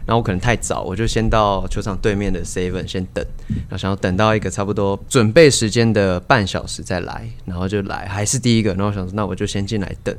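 Recorded with audible room echo, a man talks at a fairly quick pace with fairly even intonation. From Taiwan, Kaohsiung. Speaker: cheer squad leader. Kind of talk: casual chat. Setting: inside a baseball stadium.

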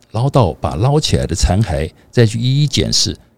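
The sound is dry and close, with no echo. A man speaks with very wide pitch swings. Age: 60s. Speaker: podcast co-host. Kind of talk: casual chat.

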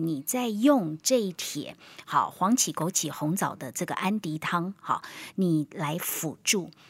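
A woman talks at a fairly slow pace and a medium pitch. Her pitch swings very widely. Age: 50s. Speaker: health radio host. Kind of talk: casual chat. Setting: studio. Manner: animated.

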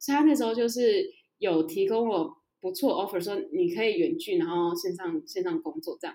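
A woman's fairly high voice with a dark, mellow tone, moderate in pace, with very wide pitch swings. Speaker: career consultant and freelance marketer. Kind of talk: interview.

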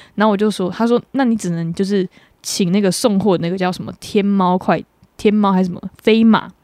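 Talking at a fairly quick pace, a woman of medium pitch has a dark, mellow tone and fairly even intonation. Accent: Taiwanese. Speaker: podcast co-host. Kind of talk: casual chat.

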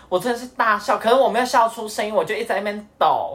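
A man's voice over noticeable background noise. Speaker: podcast co-host. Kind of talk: casual chat.

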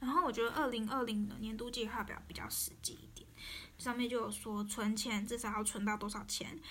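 A woman with a Taiwanese accent speaks fairly quickly at a fairly high pitch with fairly even intonation, and audible room echo surrounds her. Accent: Taiwanese Mandarin. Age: 20s. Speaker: podcaster. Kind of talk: personal monologue.

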